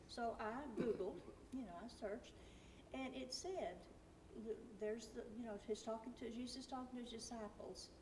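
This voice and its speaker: Over noticeable background noise and audible room echo, a woman with a fairly high pitch talks with long, frequent pauses. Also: ordinary pitch variation, moderate pace. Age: 60s. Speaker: class member. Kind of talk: testimony. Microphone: far from the mic.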